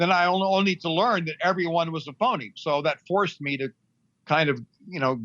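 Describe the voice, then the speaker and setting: With an American accent, a man speaks in a plain, everyday voice at a moderate pace with ordinary pitch variation. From Middle East, American family. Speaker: music manager and author. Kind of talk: interview. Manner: conversational, many fillers.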